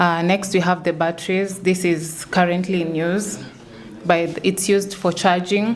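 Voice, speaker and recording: Speech comes at a fairly slow pace with monotone, flat intonation over noticeable background noise. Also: woman, medium pitch for a woman. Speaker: tech startup staff presenting platform. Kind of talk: product demo on ecosystem tour.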